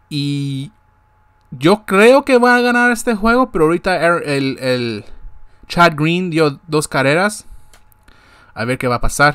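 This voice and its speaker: A man's high voice, very slow with long, frequent pauses and very wide pitch swings, over a quiet background. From Guatemala. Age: 20s. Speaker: sports podcast host; sports show host. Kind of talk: casual monologue. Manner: halting, with many repetitions. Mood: frustrated but hopeful. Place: home room. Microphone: webcam.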